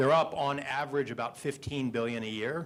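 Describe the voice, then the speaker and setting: This is a plain, everyday voice belonging to a man. He keeps a moderate pace and varies his pitch in an ordinary way. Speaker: trade policy expert panelist. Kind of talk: panel discussion.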